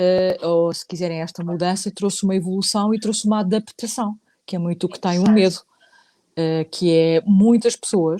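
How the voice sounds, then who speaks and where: In a European Portuguese accent, a woman speaks fairly slowly at a medium pitch with fairly even intonation, her voice dry and close with no echo as music plays in the background. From Portugal. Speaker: psychologist, psychotherapist. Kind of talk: casual chat, online live talk. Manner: hesitant, many fillers.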